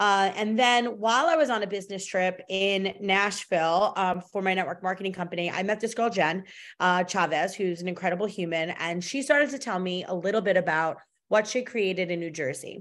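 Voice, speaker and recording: On a very clean recording with a silent background, a woman with a normal speaking voice talks fairly quickly at a medium pitch and ordinary pitch variation. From Long Island, New York. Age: 40s. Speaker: entrepreneur and networking group founder. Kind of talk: casual interview.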